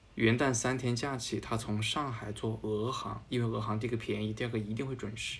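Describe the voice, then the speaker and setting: A man's medium-pitched, monotone and flat delivery with vocal fry, a slight Changsha accent, a fairly quick pace and audible room echo. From Changsha, Hunan, China. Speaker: journalist and musical theatre fan. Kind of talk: casual interview chat.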